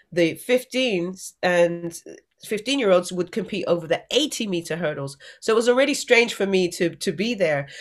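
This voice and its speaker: A woman talks at medium pitch with an English accent and lively intonation. The recording is very clean, with a silent background. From England. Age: 40s. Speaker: Olympic athlete and motivational speaker. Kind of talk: interview.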